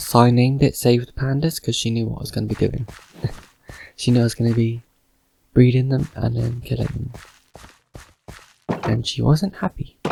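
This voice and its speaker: A man's medium-pitched, somewhat breathy voice with a dark, mellow tone, fairly even intonation, a fairly quick pace and long, frequent pauses. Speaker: gamer. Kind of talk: casual game commentary.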